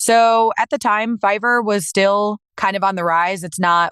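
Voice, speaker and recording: Here is an unremarkable speaking voice with an American accent and ordinary pitch variation. The sound is dry and close with no echo, over a quiet background. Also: woman. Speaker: professional voice actor. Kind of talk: interview answer.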